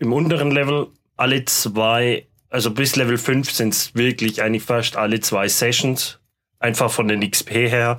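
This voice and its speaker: This man has a normal speaking voice at a medium pitch. He talks at a moderate pace with ordinary pitch variation. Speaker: tabletop game master. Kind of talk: casual chat.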